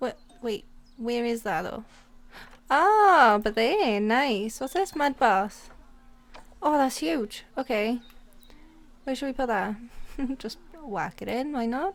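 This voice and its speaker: A woman with a Welsh accent speaks very slowly in a high voice, her lively intonation broken by long, frequent pauses. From Wales. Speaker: gaming YouTuber. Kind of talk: casual let's play commentary. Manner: excited, upbeat.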